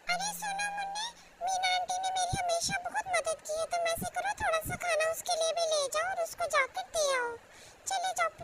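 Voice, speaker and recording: This is a cartoonish character voice. The pitch is extremely high. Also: moderate pace. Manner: affectionate, motherly.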